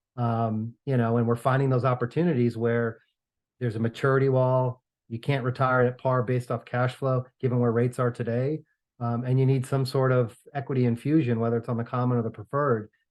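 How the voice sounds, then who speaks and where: A man with a New York accent, medium pitch, monotone, flat intonation and a fairly quick pace. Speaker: real estate finance professor and consultant. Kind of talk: podcast interview. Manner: hesitant, many fillers and repeats.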